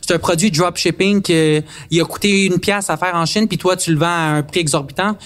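A man with a Quebec accent, high pitch, fairly even intonation and a fairly quick pace. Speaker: content creator. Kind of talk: casual chat.

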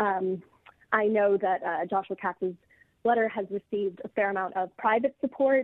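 A plain, everyday voice from a woman, medium in pitch, fairly even in intonation, at a moderate pace. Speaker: doctoral candidate in classics. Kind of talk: interview.

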